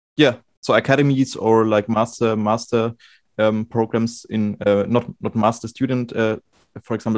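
A man speaks with a German accent. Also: dry, close sound with no echo. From Germany. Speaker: music student and podcast host. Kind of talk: casual interview. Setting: video call. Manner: halting, many fillers.

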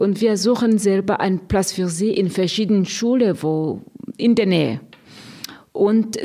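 A woman at a fairly slow pace, medium in pitch, with ordinary pitch variation. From Burundi. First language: Kirundi or French, not German (speaking German). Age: 50s. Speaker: nun, head of a religious order. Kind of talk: radio interview. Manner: halting, with fillers.

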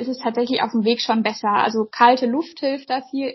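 Speaking at a fairly quick pace, a woman uses a high-pitched voice with fairly even intonation. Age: 20s. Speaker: pediatric doctor. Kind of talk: interview.

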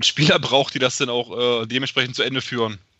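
A man speaks at a medium pitch with fairly even intonation in an ordinary speaking voice. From Germany, Magdeburg. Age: 30s. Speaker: football fan, podcast guest. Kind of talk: casual chat. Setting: remote call.

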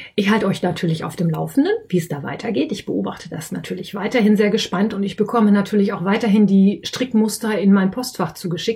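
The speech comes very fast with hardly any pauses and a slight Westphalian accent. Noticeable background noise runs underneath. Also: woman, medium pitch for a woman, ordinary pitch variation. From Westphalia, Germany. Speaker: podcast host and yarn shop owner. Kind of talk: casual solo podcast monologue.

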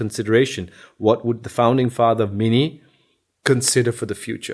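A man with a Danish accent at a medium pitch, on a very clean recording with a silent background. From Denmark. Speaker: car designer. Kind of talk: interview.

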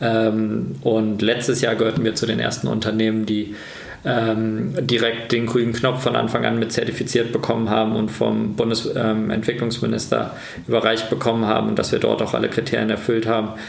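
A man's medium-pitched voice at a moderate pace, with very even loudness and fairly even intonation, plus noticeable background noise and audible room echo. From Germany, Kassel (northern Hesse). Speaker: company founder and managing director. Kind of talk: interview.

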